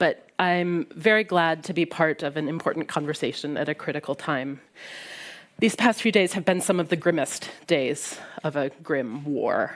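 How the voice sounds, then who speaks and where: With a Midwestern American accent, the speaker talks at a moderate pace with ordinary pitch variation on a very clean recording with a silent background. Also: woman, very deep, low pitch for a woman. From US Midwest. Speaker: historian. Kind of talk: prepared talk at a panel discussion. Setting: library event with live audience.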